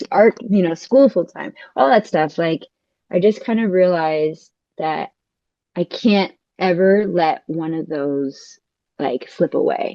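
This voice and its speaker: Speaking with a Californian accent, a woman at a medium pitch uses lively intonation and long, frequent pauses. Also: fairly slow pace. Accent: Californian American. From California, US. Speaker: dancer and architect. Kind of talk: casual chat. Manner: animated.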